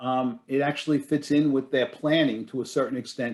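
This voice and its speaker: The man talks at a fairly quick pace with fairly even intonation. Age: 60s. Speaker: business succession advisor. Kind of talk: webinar panel discussion. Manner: hesitant, many fillers and restarts.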